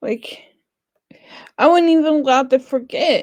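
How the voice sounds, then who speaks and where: A woman speaks with an American accent and fairly even intonation. The sound is dry and close, with no echo. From West Virginia. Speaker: vlogger. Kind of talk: personal vlog. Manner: halting.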